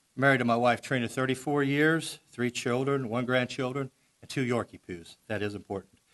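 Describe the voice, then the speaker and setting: With a Missouri accent, a man speaks at a fairly quick pace and a medium pitch. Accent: Midwestern US (Missouri). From Missouri, Festus (Jefferson County). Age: 60s. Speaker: politician. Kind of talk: candidate forum speech. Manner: animated.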